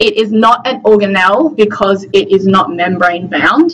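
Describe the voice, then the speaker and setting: Noticeable background noise runs beneath a voice with an Australian accent. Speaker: medical student tutor. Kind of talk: lecture. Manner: fast.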